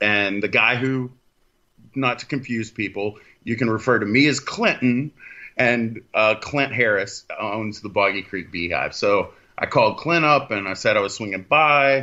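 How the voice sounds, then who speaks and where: A man with an American accent talks in an ordinary speaking voice at medium pitch, fairly slowly and with ordinary pitch variation. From Texas. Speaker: paranormal podcast host. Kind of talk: casual chat.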